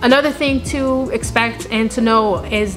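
A woman with clear music in the background. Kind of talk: casual advice vlog. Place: factory.

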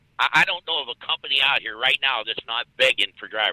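A man talks fast at a medium pitch, his intonation lively. The tone is bright and sharp, with a dry, close sound and no echo.

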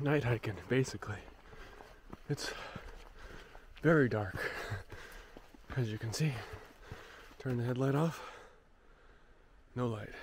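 Speaking at a fairly slow pace, a man leaves long, frequent pauses and uses ordinary pitch variation. The sound is dry with no echo, with noticeable background noise. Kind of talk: casual vlog chat. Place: forest.

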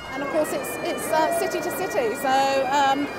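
The speech moves at a fairly quick pace. Music plays in the background. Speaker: rail company spokesperson. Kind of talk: interview answer. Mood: upbeat promotional. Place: station.

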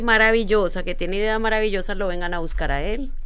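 Very fast and fairly high-pitched, a woman talks with fairly even intonation. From Colombia, Medellín. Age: 40s. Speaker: international speaker and author; speaker. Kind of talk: casual interview. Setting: studio, live on Instagram. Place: studio. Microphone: studio mic.

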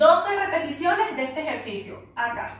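A raised, projected voice comes at a fairly slow pace with audible room echo. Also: woman. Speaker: fitness instructor. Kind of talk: tutorial. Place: home room. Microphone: camera far.

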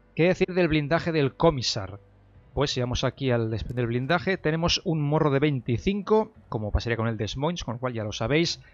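A fairly high-pitched man with lively intonation at a moderate pace, music in the background. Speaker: gaming YouTuber. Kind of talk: gameplay news commentary. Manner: casual with fillers and repetitions.

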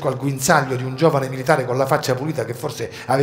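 An unforced reading voice and its fairly even intonation

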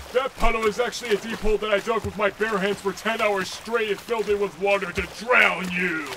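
Put-on character voice from a man, high in pitch and fairly quick, over clear background noise. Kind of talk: fan comic dub. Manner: grumpy, sarcastic.

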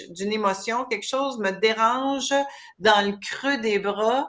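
At a very slow pace, a woman speaks in a fairly high voice with fairly even intonation. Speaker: talk show host. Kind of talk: interview. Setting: livestream video. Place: home room. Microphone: webcam.

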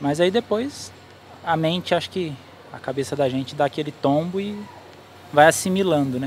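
Over light background noise, a man with a fairly high pitch talks at a moderate pace with ordinary pitch variation, in a dry sound with no echo. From Brazil, Campinas (São Paulo state); São Paulo state, Brazil. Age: 30s. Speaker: truck driver; interviewee. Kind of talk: interview testimony. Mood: reflective, earnest. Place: street. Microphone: handheld.

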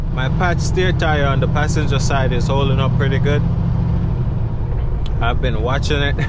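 Speech at a fairly slow pace sits under loud background noise. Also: dry sound with no echo. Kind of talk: casual vlog chat. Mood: relaxed, content. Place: car. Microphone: phone near.

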